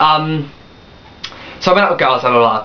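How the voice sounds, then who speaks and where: Noticeable background noise sits behind lively intonation. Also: man. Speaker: vlogger. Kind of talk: personal vlog, testimony. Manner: fast; hyper.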